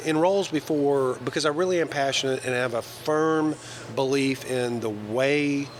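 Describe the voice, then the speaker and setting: With a Southern US accent, a man talks in an enthusiastic tone at a moderate pace. His pitch is fairly high with ordinary variation, and there is noticeable background noise. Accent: Southern US (Georgia). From US South, northwest Georgia. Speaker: banker. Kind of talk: interview conversation. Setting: live recording over breakfast.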